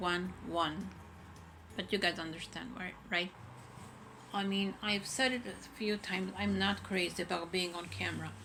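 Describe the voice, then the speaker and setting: Speaking at a fairly slow pace, a woman with a medium-pitched, bright, sharp voice uses ordinary pitch variation. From Israel. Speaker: content creator. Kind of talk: casual vlog. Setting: home, bedroom.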